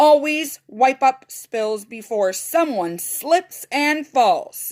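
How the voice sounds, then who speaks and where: In a put-on character voice, a woman speaks very slowly at a high pitch with lively intonation. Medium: read story.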